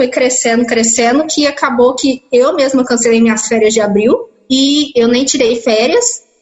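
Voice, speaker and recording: A woman's high-pitched voice moves at a moderate pace with fairly even intonation. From interior of São Paulo state, Brazil. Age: 20s. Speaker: biomedical lab worker. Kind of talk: interview testimony. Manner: hesitant, with repetitions.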